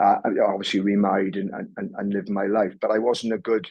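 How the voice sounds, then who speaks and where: Flat and monotone, a man's fairly low voice moves at a fairly quick pace. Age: 60s. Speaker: former sports and corporate leader. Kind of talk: interview. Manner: halting, many repeated words.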